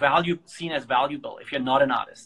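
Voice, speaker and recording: A man in a German accent, pitched fairly high. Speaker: organization founder and host. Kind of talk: casual interview conversation. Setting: live stream from a phone.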